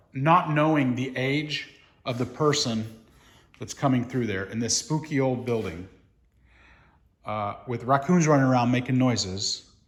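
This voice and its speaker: Somewhat breathy, a man speaks at a fairly slow pace. His medium pitch moves with lively intonation. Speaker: building renovator and video creator. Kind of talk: casual vlog narration. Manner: hesitant, many fillers.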